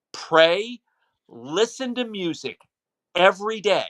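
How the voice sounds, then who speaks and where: Recorded with a dry, close sound and no echo, a man talks in a bright, sharp, animated tone with very wide pitch swings. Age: 60s. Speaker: high school football broadcaster. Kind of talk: casual chat.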